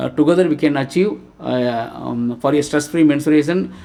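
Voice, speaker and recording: At a moderate pace and a fairly high pitch, a man talks over noticeable background noise. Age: 60s. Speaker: social worker. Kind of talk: presentation. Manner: halting, many fillers.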